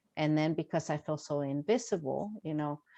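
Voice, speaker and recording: In a very deep, low pitch with a dark, mellow tone, a woman speaks with a dry, close sound with no echo against a quiet background. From Mexico, raised in Los Angeles. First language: Spanish. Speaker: author. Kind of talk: virtual Q&A talk. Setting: video call.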